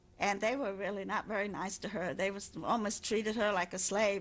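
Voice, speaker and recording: A woman with a German accent speaks at a medium pitch and moderate pace, her intonation fairly even. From Germany. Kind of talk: interview answer.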